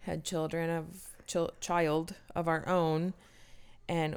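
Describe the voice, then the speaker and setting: A woman's very deep, low pitch at a fairly slow pace, in a very clean recording with a silent background. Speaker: podcast co-host. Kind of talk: casual banter, comedic chat. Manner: soft-spoken, joking.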